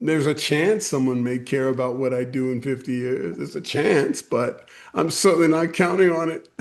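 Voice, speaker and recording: A man speaks at a moderate pace with hardly any pauses and a fairly high pitch. It is a plain, everyday voice with ordinary pitch variation. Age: 60s. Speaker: poet. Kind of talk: interview.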